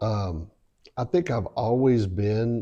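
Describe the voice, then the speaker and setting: A speaker talks at a very slow pace with a Southern US accent. The tone is dark and mellow, and the background is quiet. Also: man. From South Carolina. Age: 60s. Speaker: real estate investor. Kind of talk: interview. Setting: at home.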